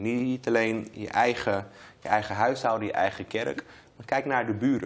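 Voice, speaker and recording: A man talks at a medium pitch. His pace is moderate, and his pitch varies in an ordinary way. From Amsterdam Zuidoost (Bijlmermeer), Netherlands. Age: 30s. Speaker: member of parliament. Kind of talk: interview. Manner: hesitant, many fillers and repetitions.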